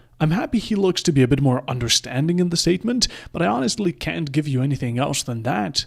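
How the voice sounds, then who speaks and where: Somewhat breathy and fairly high in pitch, a man speaks at a very fast pace with lively intonation. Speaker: esports caster and video creator. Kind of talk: scripted narration.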